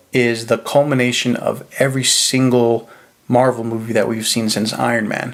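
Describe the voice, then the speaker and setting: There is noticeable background noise. Through it, a man speaks at a moderate pace. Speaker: movie reviewer. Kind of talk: video review monologue.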